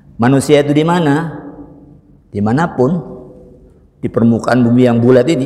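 The man's voice shows ordinary variation in pitch. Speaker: religious teacher. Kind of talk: sermon. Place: church. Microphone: lapel.

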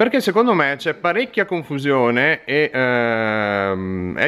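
A man is speaking. The pitch of his voice rises and falls across a very wide range. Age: 30s. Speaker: fishing tackle shop owner. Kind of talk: direct-to-camera video appeal. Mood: earnest, friendly. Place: shop. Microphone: phone near.

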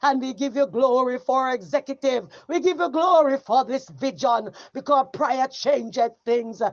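Speaking with a Jamaican accent, a woman uses a high pitch. Her pace is moderate and her pitch variation ordinary. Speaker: evangelist leading prayer. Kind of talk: fervent intercessory prayer, rising to a climactic spoken benediction. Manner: impassioned, repetitive petitions punctuated by cries of oh God; rhythmic, building preacher cadence ending in emphatic amens.

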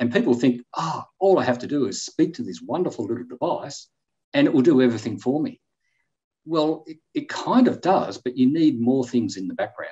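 Talking at a fairly quick pace, a man shows big swings in loudness. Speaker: guest. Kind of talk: interview answer. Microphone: video call.

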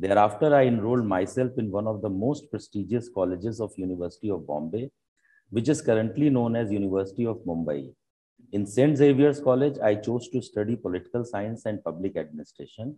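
Fairly quick in pace, a man talks with a fairly low pitch and a dark, mellow tone. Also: quiet background. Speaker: event host or speaker. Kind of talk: formal speech. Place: hall. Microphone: lapel.

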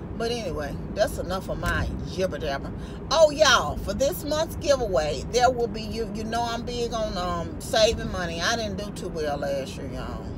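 There is noticeable background noise as a woman talks at a moderate pace. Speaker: vlogger. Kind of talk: casual vlog chat. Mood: upbeat, encouraging. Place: car. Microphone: phone near.

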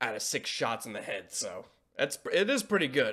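A man talks at a fairly slow pace, with a quiet background behind him. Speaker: reaction video creator. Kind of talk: casual reaction commentary. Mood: relaxed, amused. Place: home room.

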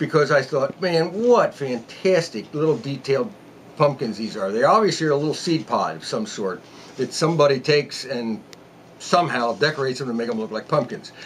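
Speaking at a fairly quick pace with lively intonation, a man is heard over light background noise. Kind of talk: tutorial. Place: workshop.

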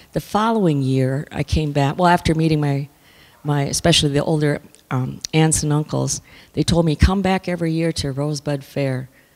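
A woman's very deep, low voice moves with ordinary pitch variation. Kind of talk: panel talk. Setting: stage with audience. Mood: calm, reflective. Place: hall. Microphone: handheld.

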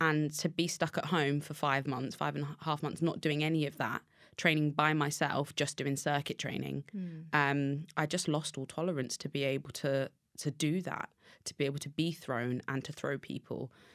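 A woman's very deep, low voice with monotone, flat intonation over a quiet background. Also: moderate pace. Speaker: podcast guest. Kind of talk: interview answer. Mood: reflective, recalling a hard time. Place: studio. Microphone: studio mic.

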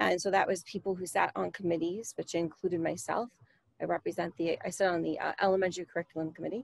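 A woman uses an ordinary speaking voice, medium in pitch, with an American accent and ordinary pitch variation. The sound is dry with no echo. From Long Island, New York; New York. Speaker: PTA parent volunteer. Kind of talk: workshop discussion. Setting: video call. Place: home room. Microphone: video call.

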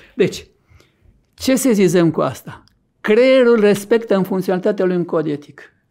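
A man speaks at a high pitch with a dark, mellow tone and ordinary pitch variation. His pace is moderate, and the background is quiet. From Romania, Argeș county; Romania. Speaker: neurologist and author; guest. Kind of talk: interview. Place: studio.

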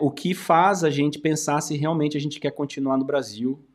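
Over a quiet background, a man talks at a moderate pace with a fairly high pitch. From Brazil, São Paulo interior. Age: 40s. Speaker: YouTuber and study-abroad agency owner; YouTuber. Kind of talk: casual commentary video. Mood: calm, reflective. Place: studio.

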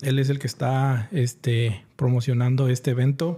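A man's dark, mellow voice. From Mexico, Guanajuato. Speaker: livestream podcast host. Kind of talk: casual chat. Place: studio. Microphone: studio mic.

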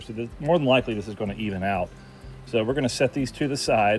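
A man talks at a fairly quick pace. Faint music can be heard in the background. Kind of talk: cooking tutorial. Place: garden. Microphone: phone near.

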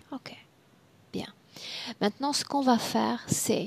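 Whispering is what this woman does. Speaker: hypnotherapist; hypnosis session guide. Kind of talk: regressive hypnosis session. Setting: video call. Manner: directive. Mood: calm, gentle, slow. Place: home room. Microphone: headset.

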